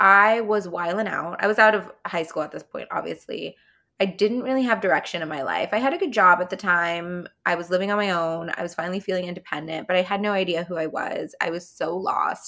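Hardly pausing, a woman with a Californian accent speaks in a bright, sharp, animated tone. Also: medium pitch for a woman, ordinary pitch variation, fairly quick pace. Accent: Californian, valley-girl-like. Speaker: podcast host. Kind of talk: solo podcast monologue, casual chat. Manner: casual, chatty, animated.

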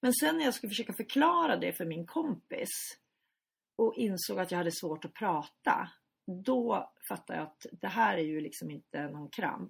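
Her loudness swinging widely, a woman speaks at a moderate pace. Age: 50s. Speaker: journalist and editor, brain tumour survivor. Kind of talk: interview.

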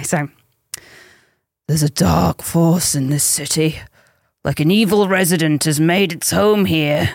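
A woman's raspy, put-on character voice with a very deep, low pitch, at a moderate pace. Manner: silly, exaggerated.

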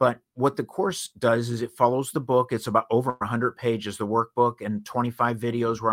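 In a very clean recording with a silent background and a dry, close sound with no echo, a man with a plain, everyday voice talks at a medium pitch and a fairly quick pace. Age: 60s. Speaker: house painting business owner and speaker. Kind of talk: interview.

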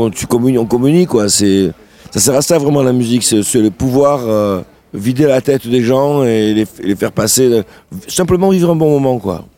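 Speaking at a moderate pace and a medium pitch with ordinary pitch variation, a man is heard over noticeable background noise. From southern France, Sète. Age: 60s. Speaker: singer and guitarist. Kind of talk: radio interview. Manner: halting.

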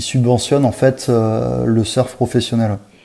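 Noticeable background noise under a man's fairly slow, medium-pitched speech. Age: 30s. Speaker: marketing director for a surf brand. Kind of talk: interview. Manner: halting, with frequent repetitions and fillers.

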